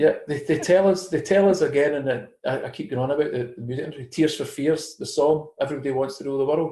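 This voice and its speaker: At a very fast pace with hardly any pauses, a man with a Scottish accent speaks in a dark, mellow, somewhat breathy tone at a fairly high pitch, with ordinary pitch variation. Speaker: conspiracy theory commentator. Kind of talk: casual chat.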